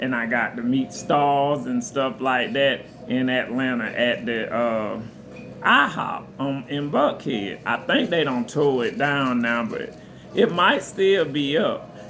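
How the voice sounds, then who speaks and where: Over noticeable background noise and audible room echo, a man at medium pitch talks very slowly with lively intonation. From US South, southern Georgia. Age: 40s. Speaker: restaurant server, vlogger. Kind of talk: casual storytelling vlog.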